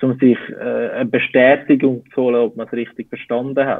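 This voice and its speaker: A man talks in a monotone, flat intonation. His pitch is medium. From Switzerland. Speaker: civilian service worker, former army communication expert. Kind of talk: interview answer.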